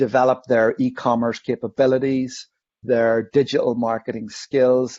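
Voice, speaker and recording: This man has a Northern Irish accent and a medium pitch. He speaks at a moderate pace. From Northern Ireland. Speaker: online safety educator. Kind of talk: interview.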